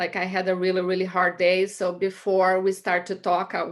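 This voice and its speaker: A woman speaks at a medium pitch. She has a Brazilian Portuguese accent. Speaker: immigrant sharing her life story. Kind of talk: personal testimony. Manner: hesitant, many fillers.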